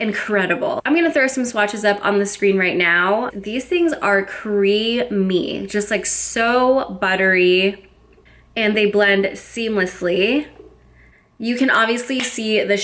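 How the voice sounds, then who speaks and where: At a very slow pace, a woman with an American accent speaks at medium pitch with ordinary pitch variation and very even loudness. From United States, Florida. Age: 20s. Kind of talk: casual makeup review to camera. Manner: upbeat, enthusiastic.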